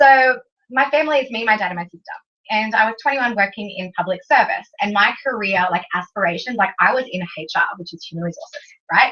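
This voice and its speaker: A woman's very fast, animated delivery in an Australian accent, with a fairly high pitch, lively intonation and big swings in loudness. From Australia (Canberra). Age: 20s. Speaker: business presenter. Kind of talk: motivational talk to an audience.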